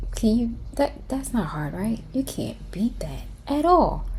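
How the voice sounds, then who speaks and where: A woman is whispering. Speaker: craft tutorial YouTuber. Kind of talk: tutorial. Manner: animated.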